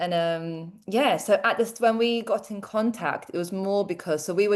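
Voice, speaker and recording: Against a quiet background, a woman speaks with a London accent. Her pitch is medium and her intonation fairly even. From London, England (born in Croatia). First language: Croatian. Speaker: teacher and tutoring business owner. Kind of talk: interview.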